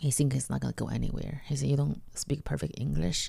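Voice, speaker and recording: Moderate-paced speech from a woman with a Chinese accent. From China. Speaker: comedian. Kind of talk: interview. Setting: in person at host's home.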